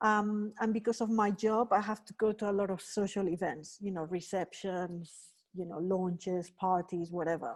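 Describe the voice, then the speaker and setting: A woman speaks with a Spanish accent at medium pitch, moderate pace and fairly even intonation. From Spain. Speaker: workshop trainer. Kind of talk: online workshop lecture. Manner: conversational, many fillers.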